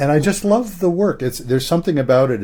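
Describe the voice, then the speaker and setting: Lively intonation rides on a dark, mellow tone. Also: man. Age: 70s. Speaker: psychologist and couples therapist. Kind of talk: podcast interview.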